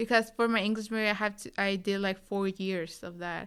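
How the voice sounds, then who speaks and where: In a very clean recording with a silent background, a woman with a Spanish accent speaks at medium pitch. Her tone is bright and sharp, and her intonation fairly even. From Tijuana, Mexico. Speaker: recent university graduate. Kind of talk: interview. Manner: halting, many fillers.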